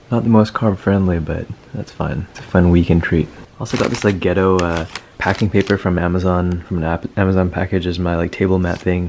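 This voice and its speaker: Against noticeable background noise, a man with a very deep, low pitch talks at a fairly quick pace and fairly even intonation. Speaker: medical student vlogger. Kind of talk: casual vlog talk. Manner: monotone.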